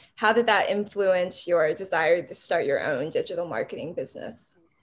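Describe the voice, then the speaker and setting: A woman talks against a quiet background. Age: 20s. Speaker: podcast editor and co-host. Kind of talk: casual chat.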